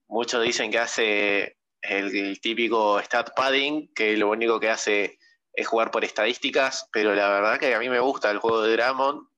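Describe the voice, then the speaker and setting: The tone is bright and sharp, with fairly even intonation. The pace is fairly slow. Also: man. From Argentina. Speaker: basketball fan content creator. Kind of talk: casual chat.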